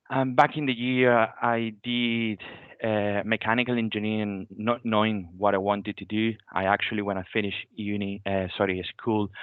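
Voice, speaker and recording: Someone with a Venezuelan accent talks at a moderate pace with fairly even intonation. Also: man, fairly low pitch for a man. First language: Spanish. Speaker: graduate renewable energy engineer. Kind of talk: careers talk. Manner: halting.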